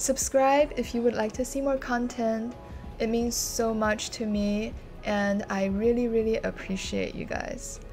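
With clear music in the background, a woman talks at a fairly slow pace with fairly even intonation. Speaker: vlogger. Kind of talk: casual vlog narration.

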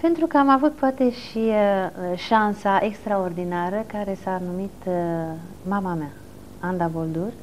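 A woman speaks at a medium pitch with lively intonation. Her pace is fairly slow, over light background noise. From Romania, Bucharest. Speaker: film historian; interview guest. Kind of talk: television interview. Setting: TV studio. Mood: calm, reflective. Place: studio. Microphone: lapel.

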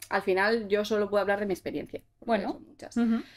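Little background sound accompanies a woman as she talks. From Basque Country (Gipuzkoa), Spain; Basque Country, Spain. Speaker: content creator. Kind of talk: casual interview chat. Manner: hesitant, many fillers. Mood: relaxed, reflective. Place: studio.

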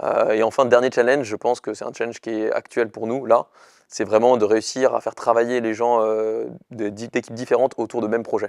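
Against a quiet background, a man speaks at a fairly quick pace in a medium pitch, with monotone, flat intonation and a dry sound with no echo. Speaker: startup founder. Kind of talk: interview. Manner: fast. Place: studio. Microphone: lapel.

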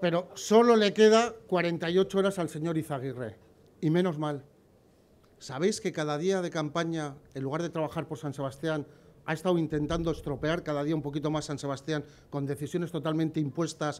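Moderate pace and ordinary pitch variation from a man. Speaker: candidate. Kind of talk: campaign speech. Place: street. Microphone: podium.

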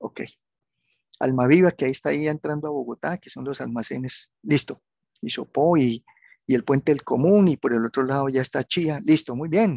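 Using a normal speaking voice, a man talks at a moderate pace with a fairly high pitch and ordinary pitch variation, the sound dry and close with no echo and the background quiet. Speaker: university tutor. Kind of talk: online class tutorial.

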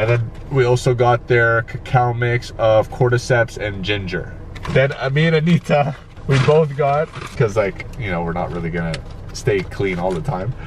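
Light background noise sits under a man's voice. He talks at a moderate pace, and the sound is dry with no echo. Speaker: vlogger. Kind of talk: casual vlog chat. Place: car. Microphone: phone near.

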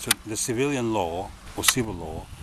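The sound is dry, with no echo, but has noticeable background noise. A man is speaking. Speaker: self-styled legal commentator. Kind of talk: casual explanatory talk. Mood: dismissive of courts. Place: open country. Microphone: phone near.

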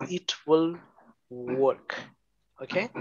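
A man with a Bengali accent talks in a fairly high voice with lively intonation over light background noise. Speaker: programming teacher. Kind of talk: online lecture. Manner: slow. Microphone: video call.

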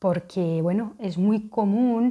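A woman speaking at a very slow pace with ordinary pitch variation, against a quiet background. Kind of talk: informative talk to camera. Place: home room. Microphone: lapel.

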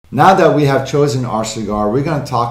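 A man's voice with ordinary pitch variation and audible room echo. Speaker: cigar channel host. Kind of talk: tutorial. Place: studio.

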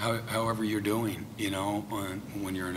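With noticeable background noise behind him, a man talks at a fairly quick pace in a fairly low pitch and a monotone, flat intonation. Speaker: head football coach. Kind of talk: press conference answer. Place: hall. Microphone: podium.

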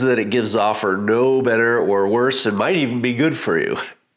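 Medium-pitched male speech in a room with audible echo. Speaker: leather craft youtuber. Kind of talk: casual tutorial talk. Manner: conversational, with fillers.

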